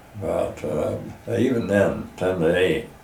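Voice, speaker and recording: Audible room echo and noticeable background noise accompany a man's speech. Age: 80s+. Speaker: pumpkin farmer. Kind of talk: casual interview. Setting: outdoors on farm porch. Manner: halting, many fillers.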